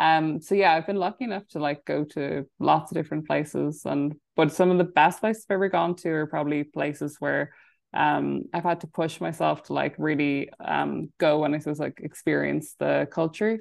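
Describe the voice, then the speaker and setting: A woman speaks with an Irish Midlands accent. Her pace is moderate. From Ireland, County Laois. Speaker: business development advisor. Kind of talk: casual interview. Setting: video call.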